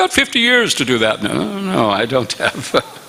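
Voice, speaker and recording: Over noticeable background noise, a man speaks fairly quickly with an American accent. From upstate New York, US. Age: 70s. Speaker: visiting monk lecturer. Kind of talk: religious lecture.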